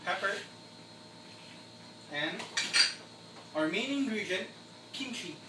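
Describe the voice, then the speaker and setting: Loud background noise surrounds a man speaking at a fairly slow pace with long, frequent pauses. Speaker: home cook. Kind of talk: cooking tutorial, casual talk to camera. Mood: friendly, cheerful. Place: kitchen. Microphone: camera far.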